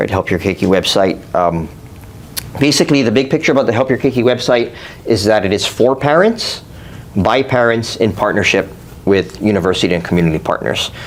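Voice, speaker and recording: Fairly quick, lively speech from a fairly low-pitched man amid noticeable background noise. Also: very even loudness. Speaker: psychology professor and clinical psychologist. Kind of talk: conference presentation. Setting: workshop with live audience. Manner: fast.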